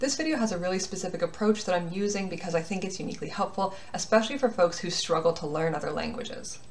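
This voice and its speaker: Lively intonation marks a woman's speech, with light background noise behind it. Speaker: language hobbyist making pronunciation guides. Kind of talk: tutorial talk to camera. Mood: friendly, upbeat. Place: home room. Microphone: webcam.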